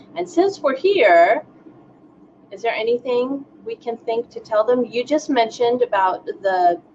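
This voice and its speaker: A woman at a high pitch and a fairly slow pace, with very wide pitch swings, big swings in loudness and noticeable background noise. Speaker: singer and online show host. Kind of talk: casual chat.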